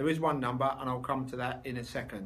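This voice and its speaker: A man with a London accent, his pitch rising and falling in an ordinary way, with audible echo from the room. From London, England. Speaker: body shop owner and trade association chair. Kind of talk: video interview for a conference. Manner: animated, jokey conversational.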